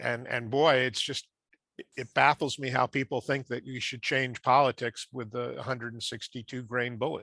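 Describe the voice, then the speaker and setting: Recorded very cleanly against a silent background, a man talks at a moderate pace in a medium pitch, with a dry, close sound with no echo, a monotone, flat intonation and a bright, sharp tone. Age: 70s. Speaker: assassination research group member. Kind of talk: group discussion.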